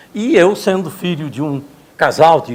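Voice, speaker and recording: A man with a high pitch talks very slowly, his intonation lively. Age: 70s. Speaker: lecturer. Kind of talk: lecture.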